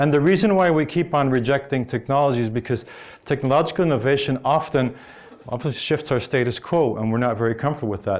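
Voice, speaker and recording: This man speaks very fast with an American accent. His pitch sits fairly high and moves with ordinary variation. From Belgium, Brussels; learned English in New Jersey. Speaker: business development strategist, conference speaker. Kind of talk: conference talk. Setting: stage with audience at conference.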